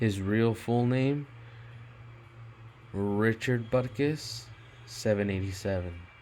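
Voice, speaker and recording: A man's medium-pitched voice at a very slow pace, with fairly even intonation and long, frequent pauses. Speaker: gematria video commentator. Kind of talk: casual monologue over screen recording. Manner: halting with many fillers.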